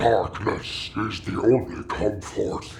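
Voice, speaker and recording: A man puts on a character voice at medium pitch, speaking fairly slowly. Background noise is clearly heard. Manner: sinister.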